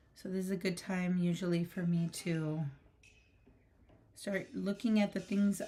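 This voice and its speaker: A woman speaks at a fairly slow pace in a somewhat breathy voice, her intonation fairly even. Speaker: artist and art educator. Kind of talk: live stream art tutorial. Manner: soft-spoken; casual, filler-heavy.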